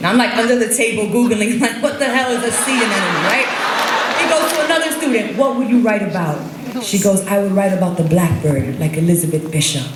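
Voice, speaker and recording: Over noticeable background noise, a woman with an American accent speaks at a fairly high pitch with very wide pitch swings and very even loudness. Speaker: poet. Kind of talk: stage talk to audience. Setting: live stage. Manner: casual, conversational.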